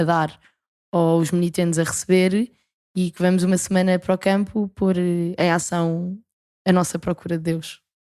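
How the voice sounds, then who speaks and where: On a very clean, dry, close recording with a silent background and no echo, a woman speaks at a fairly low pitch with a dark, mellow tone and monotone, flat intonation. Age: 20s. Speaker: university student and camp leader. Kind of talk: podcast interview.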